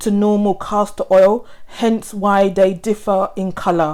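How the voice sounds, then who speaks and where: A woman speaks at a fairly slow pace. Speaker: beauty vlogger. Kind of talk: tutorial.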